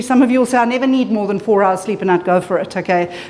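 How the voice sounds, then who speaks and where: A woman talks at a very fast pace in an animated tone, with ordinary pitch variation. Background noise is noticeable. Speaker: clinical psychologist presenter. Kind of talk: conference presentation. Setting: conference room with audience. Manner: loud.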